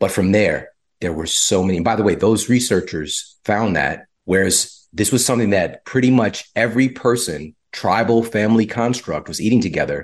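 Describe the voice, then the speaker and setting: A man with an American accent and an ordinary speaking voice, fairly low in pitch with ordinary variation, at a moderate pace with hardly any pauses. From US, low-income community. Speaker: health author and podcaster. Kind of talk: interview conversation.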